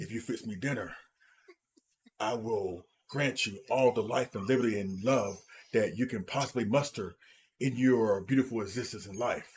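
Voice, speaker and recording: In a put-on character voice, a man talks at a moderate pace and a medium pitch. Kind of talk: big formal words. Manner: monotone.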